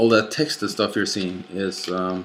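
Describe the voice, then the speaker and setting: Background noise is noticeable. Over it, a man talks. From Norway. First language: Norwegian. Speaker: YouTuber / movie collector. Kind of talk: casual vlog rant. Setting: late night home recording. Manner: halting, many fillers.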